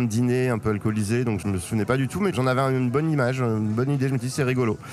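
Against noticeable background noise, a man talks very fast with ordinary pitch variation. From Paris, France. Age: 40s. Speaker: amateur poker champion. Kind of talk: casual interview. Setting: poker tournament venue.

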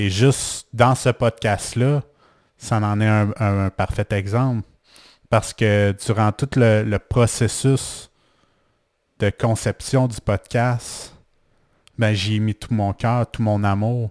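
In a Quebec accent, a man with a fairly low pitch talks in a flat monotone at a very slow pace, with long, frequent pauses, in a very clean recording with a silent background and a dry, close sound with no echo. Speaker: life coach and podcaster. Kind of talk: personal monologue podcast. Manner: halting, with repetitions.

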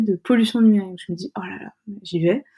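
This is a woman's voice with a dark, mellow tone. It is somewhat breathy. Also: very clean recording, silent background. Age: 20s. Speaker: UX design student and founder of a media site. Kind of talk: interview. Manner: halting.

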